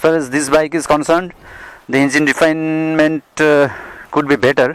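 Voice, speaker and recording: At a moderate pace, a man with a fairly high pitch speaks in a monotone, flat intonation. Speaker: motorcycle reviewer. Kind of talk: ride review vlog. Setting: riding a motorcycle outdoors. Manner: halting, many fillers.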